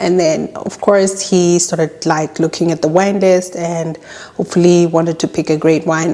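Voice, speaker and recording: Fairly low-pitched female speech, fairly even in intonation, with noticeable noise behind it. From South Africa. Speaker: YouTuber. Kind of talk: casual storytime talk to camera.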